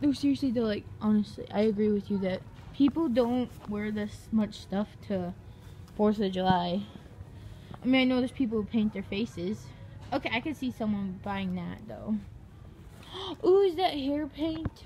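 A woman with a dark, mellow, somewhat breathy tone speaks at a moderate pace with lively intonation and long, frequent pauses over light background noise. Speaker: vlogger shopping with dad. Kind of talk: casual vlog chat. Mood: playful, laughing. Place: shop. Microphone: phone near.

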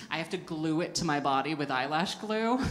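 A woman's fairly low voice with lively intonation. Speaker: stand-up comedian. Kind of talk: stand-up comedy routine. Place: stage. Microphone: handheld.

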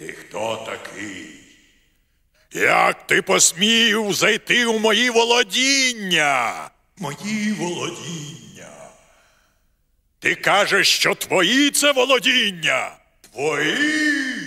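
Cartoonish character voice from a high-pitched man, very slow in pace with long, frequent pauses. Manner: haughty, then enraged shouting.

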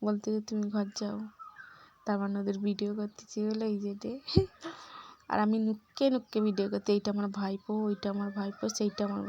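Against noticeable background noise, a woman with a medium pitch speaks in a monotone, flat intonation. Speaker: vlogger and homemaker. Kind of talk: casual vlog narration. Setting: at home and in village outdoors.

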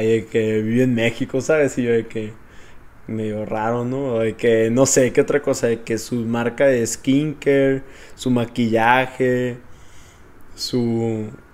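With a Mexican accent, a man talks at a fairly slow pace in a dark, mellow tone and fairly even intonation. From Mexico. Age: 20s. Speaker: host's boyfriend. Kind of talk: casual chat. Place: home room. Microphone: handheld.

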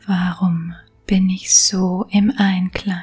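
Soft-spoken, very slow delivery over music in the background. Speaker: self-help coach. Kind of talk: guided affirmation recording.

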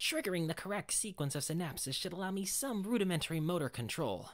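In a put-on character voice, a female-sounding speaker talks very fast at a fairly low pitch for a woman. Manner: precise, articulate.

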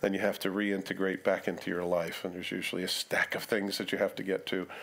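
With a fairly quick pace, a man is talking. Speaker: preacher. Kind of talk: sermon. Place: church. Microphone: headset.

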